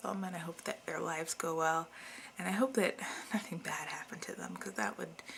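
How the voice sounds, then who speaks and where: A woman mumbles in a fairly low pitch. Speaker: video blogger. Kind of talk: casual monologue to camera. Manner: mumbling.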